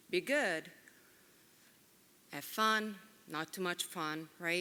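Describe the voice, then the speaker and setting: The voice has a bright, sharp tone and lively intonation. Its pace is very slow. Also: woman. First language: Italian. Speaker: Italian teacher. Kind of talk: award speech.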